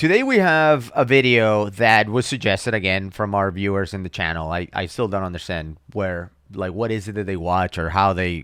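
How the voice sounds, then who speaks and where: A man with a normal speaking voice and a fairly low pitch at a moderate pace, in a very clean recording with a silent background. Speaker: dive channel co-host. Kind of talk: casual reaction chat.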